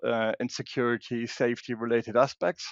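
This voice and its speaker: A man with a German accent, at medium pitch and a moderate pace. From Germany. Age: 50s. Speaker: security expert and women's safety advocate. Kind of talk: interview. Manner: halting, many restarts.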